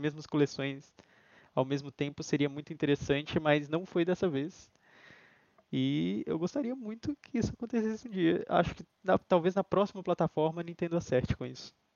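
A man with a fairly high pitch and an unremarkable speaking voice. He talks at a moderate pace. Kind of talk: casual chat. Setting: live stream.

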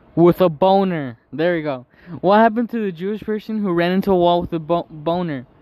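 This is an unforced reading voice. It reads the text aloud.

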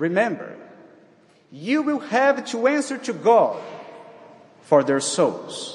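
With a non-native accent, the speaker talks at a very slow pace with long, frequent pauses and very wide pitch swings. Background noise is noticeable. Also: man, extremely high pitch for a man. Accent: foreign accent, non-native. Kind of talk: sermon. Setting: church. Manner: formal.

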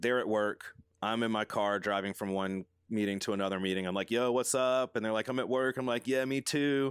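Recorded dry and close with no echo against a silent background, a man talks at a fairly quick pace in an ordinary speaking voice with ordinary pitch variation. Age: 30s. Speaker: design studio co-owner. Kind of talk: casual interview chat.

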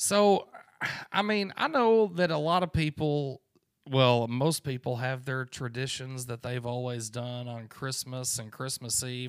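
A normal speaking voice moves at a fairly slow pace. The recording is very clean, with a silent background. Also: man. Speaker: podcast host. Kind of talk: casual chat. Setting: home recording. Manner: casual, joking.

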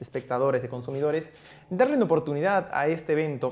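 A man's fairly high voice with ordinary pitch variation, at a very fast pace. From Peru, Arequipa. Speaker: podcast host, performing arts graduate. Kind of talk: casual chat.

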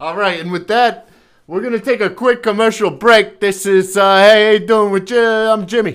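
On a very clean recording with a silent background, a man with a high pitch talks at a moderate pace with fairly even intonation. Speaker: podcast host. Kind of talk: casual comedic interview. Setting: studio.

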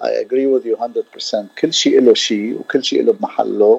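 Speaking at a moderate pace, a man is heard with a dry, close sound with no echo and noticeable background noise. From Syria (Damascus). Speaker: percussionist. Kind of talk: radio interview. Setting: radio studio. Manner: halting.

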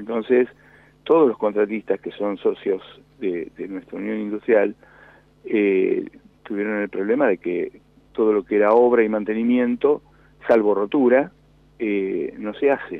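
With a Rioplatense accent, a man talks at a fairly slow pace in a fairly low pitch, leaving long, frequent pauses. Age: 60s. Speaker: industrialist. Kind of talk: radio interview. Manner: halting.

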